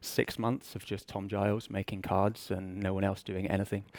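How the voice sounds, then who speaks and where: An English accent at a moderate pace, on a very clean recording with a silent background and a dry, close sound with no echo. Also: man. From England. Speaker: business intelligence director. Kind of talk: conference talk. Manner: hesitant, many fillers.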